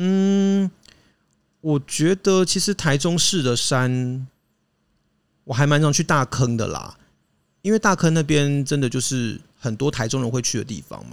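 In a very clean recording with a silent background, a man with a fairly high pitch speaks at a fairly slow pace with lively intonation and long, frequent pauses. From Taiwan, Hakka background. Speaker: podcast co-host. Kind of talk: casual chat.

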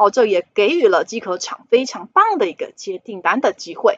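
The speaker uses a Taiwanese accent, a moderate pace and very wide pitch swings. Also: woman. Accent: Taiwanese Mandarin. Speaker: finance podcast host. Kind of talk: solo investment commentary.

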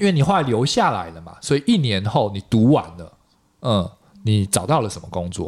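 A man with a Taiwanese accent at a fairly low pitch, fairly quick and with lively intonation, plus big swings in loudness. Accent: Taiwanese Mandarin. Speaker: podcast host. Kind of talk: casual interview chat.

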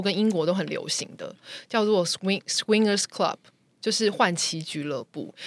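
A woman with an ordinary speaking voice and medium pitch talks at a moderate pace with lively intonation, the sound dry and close with no echo. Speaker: podcast guest sharing personal stories. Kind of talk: casual chat, storytelling.

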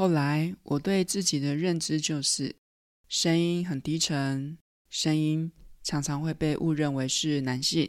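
Very slowly, a woman speaks in a very deep, low pitch with fairly even intonation on a very clean recording with a silent background. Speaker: podcast host, mindfulness yoga psychologist. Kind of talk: personal storytelling monologue.

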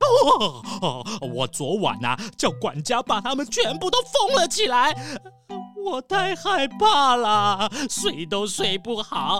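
A woman uses a put-on character voice, fairly high and fairly bright, with very wide pitch swings. She speaks at a slow pace while faint music plays in the background.

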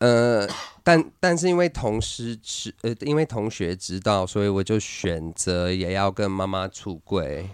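Lively intonation from a man with a fairly low pitch, talking at a fairly slow pace over a quiet background. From US, Utah. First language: English (speaking Chinese). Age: 30s. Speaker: LGBT activist and entertainer. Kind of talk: casual interview. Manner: halting, with frequent filler words.

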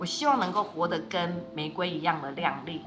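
With music playing and audible room echo, a woman speaks at a moderate pace. Her fairly low voice moves through very wide pitch swings. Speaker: social welfare official. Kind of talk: interview conversation.

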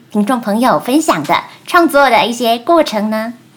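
Lively intonation marks a woman's fairly high-pitched voice. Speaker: podcast host. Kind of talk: scripted interview questions. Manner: formal.

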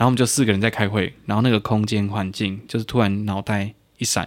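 A man's fairly low voice at a very fast pace, with ordinary pitch movement, in a very clean recording over a silent background. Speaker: podcast co-host. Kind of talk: casual chat.

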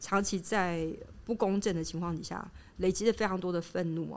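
A woman's normal speaking voice at a fairly low pitch, moderate pace and fairly even intonation. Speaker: academic researcher in anthropology and psychoanalysis. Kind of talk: interview conversation. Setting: on location in her research institute.

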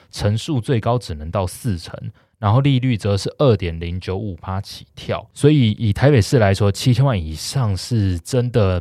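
A man with an ordinary speaking voice and fairly low pitch speaks at a moderate pace with lively intonation, in a very clean recording with a silent background. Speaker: real estate podcast host. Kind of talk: casual chat.

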